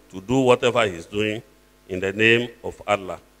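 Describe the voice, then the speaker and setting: A man speaks over noticeable background noise. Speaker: deputy governor, politician. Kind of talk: speech reading. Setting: stage with audience.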